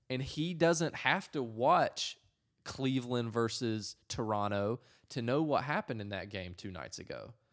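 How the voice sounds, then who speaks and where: On a very clean recording with a silent background, a man with an American accent and a normal speaking voice talks at a fairly slow pace in a medium pitch, his intonation lively. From North Carolina. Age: 20s. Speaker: advertising and marketing professional. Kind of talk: casual chat. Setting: in the guest's apartment.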